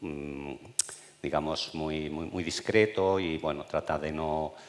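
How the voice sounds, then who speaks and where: Very deep and low, a man's voice stays monotone and flat at a fairly slow pace. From Spain, Burgos province. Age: 60s. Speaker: retired oncologist. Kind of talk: public talk, interview. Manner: spontaneous, unscripted.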